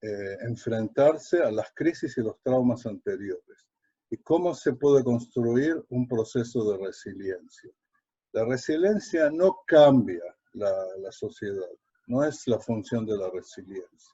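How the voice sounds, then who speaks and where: Very slowly, a man speaks in a dark, mellow tone that is somewhat breathy. His intonation is lively. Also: medium pitch for a man. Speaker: lecturer, educator. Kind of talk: online lecture. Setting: live online webinar. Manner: halting, many fillers.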